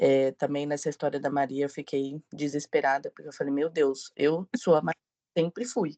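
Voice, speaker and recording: At a moderate pace, a woman with a very deep, low pitch talks over a quiet background, the sound dry and close with no echo. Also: ordinary pitch variation. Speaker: book club member. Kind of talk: casual chat.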